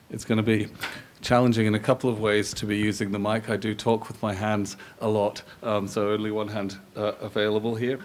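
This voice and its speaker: A man's fairly low, monotone and flat voice runs at a fairly quick clip amid noticeable background noise. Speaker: philosophy professor, panel speaker. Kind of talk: symposium talk. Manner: loud; hesitant, many fillers and repeats.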